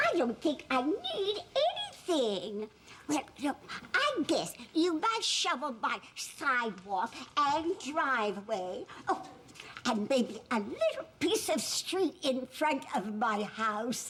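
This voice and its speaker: Putting on a character voice, a woman speaks at a high pitch with very wide pitch swings and very even loudness, over clear background noise. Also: fairly slow pace. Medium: stage play. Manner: gentle, folksy.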